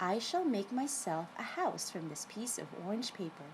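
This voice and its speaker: A woman does a put-on character voice with a gentle tone at a medium pitch. She speaks at a moderate pace over clear background noise. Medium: read story. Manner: kind, gentle.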